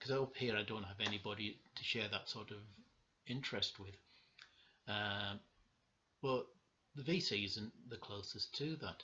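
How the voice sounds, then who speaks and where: At a moderate pace, a man with a Cumbrian accent speaks at a medium pitch. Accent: northern English (Cumbrian). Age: 60s. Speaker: vinyl collector vlogger. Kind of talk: casual video monologue. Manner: halting, many fillers.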